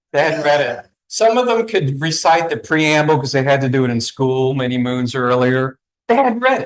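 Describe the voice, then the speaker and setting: Lively intonation runs through this voice, delivered with a slight Southeast Virginia accent. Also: man. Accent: slight Southeast Virginia twang. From US South, southeast Virginia (Newport News). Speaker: author and discussion facilitator. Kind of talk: welcome speech to a live audience.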